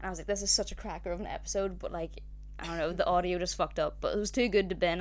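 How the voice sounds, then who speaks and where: This woman has a Northern Irish accent. She speaks at a very fast pace. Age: 20s. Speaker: podcast co-host. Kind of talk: casual chat.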